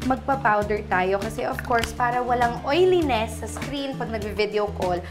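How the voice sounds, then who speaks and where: A woman speaks at a moderate pace with clear music playing in the background. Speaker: beauty vlogger. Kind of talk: casual tutorial chat. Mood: relaxed, cheerful. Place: home room.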